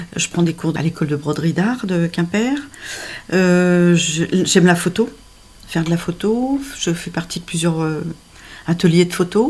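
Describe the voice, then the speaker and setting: Noticeable background noise sits under the voice. The pace is fairly slow, with long, frequent pauses. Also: woman, fairly low pitch for a woman, ordinary pitch variation. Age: 60s. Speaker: dating agency client. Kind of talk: interview. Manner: hesitant with many fillers.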